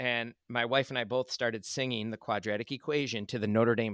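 On a very clean recording with a silent background and a dry, close sound with no echo, a man with an unremarkable speaking voice talks at a fairly quick pace and medium pitch with ordinary pitch variation. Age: 40s. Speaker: middle school English teacher, podcast co-host. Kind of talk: casual chat.

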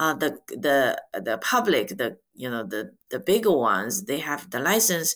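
A woman with a Chinese accent speaks at a very deep, low pitch and a fairly slow pace, her pitch swinging very widely with hardly any pauses. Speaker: podcast host and ETF director. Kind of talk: interview.

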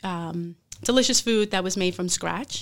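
A plain, everyday voice moves at a fairly slow pace on a very clean recording with a silent background. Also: woman. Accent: American. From Brooklyn, New York. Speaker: chef. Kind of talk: interview. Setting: studio.

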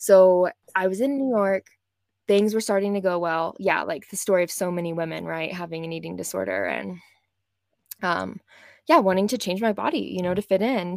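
A woman with an American accent speaks at medium pitch and a moderate pace with ordinary pitch variation, on a very clean recording with a silent background. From West Texas. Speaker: manifestation coach. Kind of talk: casual interview chat.

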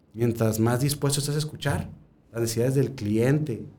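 Fairly quick in delivery, the speech carries a somewhat breathy, dark, mellow tone. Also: man. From central Mexico, Guanajuato. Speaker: restaurant consultant and food researcher. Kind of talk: casual chat.

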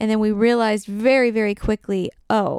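This woman speaks at a moderate pace with a fairly high pitch. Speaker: podcast co-host, host's wife. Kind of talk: casual chat. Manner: quiet; soft-spoken.

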